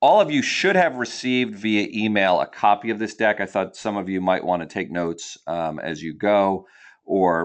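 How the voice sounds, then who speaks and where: Using an unremarkable speaking voice, a man talks with an American accent at a fairly low pitch. His pace is moderate and his pitch varies in an ordinary way. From New Jersey. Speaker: nonprofit founder and personal finance educator. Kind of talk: educational webinar presentation. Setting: webinar, broadcast online.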